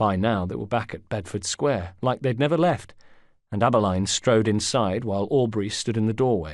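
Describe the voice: With ordinary pitch variation, the recording is plain reading aloud.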